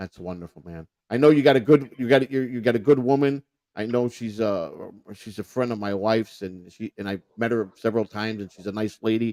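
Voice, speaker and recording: In a Chicago accent, a man talks at a fairly quick pace with a medium pitch and a dark, mellow tone. His loudness swings a lot, and the sound is dry and close with no echo. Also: ordinary pitch variation. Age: 50s. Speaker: podcast host and former prisoner. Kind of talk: casual chat. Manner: halting.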